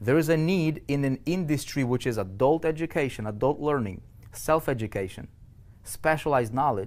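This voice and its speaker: Speaking with a non-native accent, a man talks at a fairly quick pace with a fairly high pitch and ordinary pitch variation. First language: not English. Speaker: online business coach. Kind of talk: webinar presentation. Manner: halting, many repetitions and fillers; animated.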